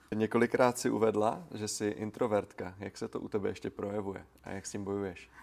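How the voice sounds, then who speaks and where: An ordinary speaking voice from a man, fairly low in pitch, at a fairly quick pace with fairly even intonation and hardly any pauses. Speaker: podcast host. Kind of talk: casual interview.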